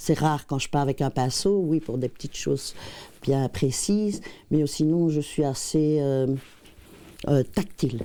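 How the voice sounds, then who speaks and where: A dark, mellow tone at a fairly slow pace, with ordinary pitch variation and long, frequent pauses. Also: woman, very deep, low pitch for a woman. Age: 60s. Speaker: painter. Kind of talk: interview. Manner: hesitant, many fillers.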